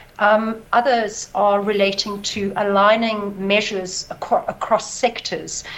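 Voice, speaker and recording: A woman's medium-pitched voice at a very slow pace, with fairly even intonation, hardly any pauses and noticeable background noise. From South Africa. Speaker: stock exchange CEO. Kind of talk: interview. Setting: remote link from South Africa. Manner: halting, many fillers.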